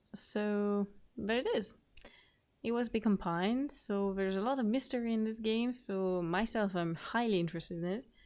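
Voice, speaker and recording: A woman with a French accent speaks at a moderate pace and very even loudness. The background is quiet. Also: fairly high pitch for a woman, ordinary pitch variation. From France. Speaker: gaming youtuber. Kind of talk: let's play commentary.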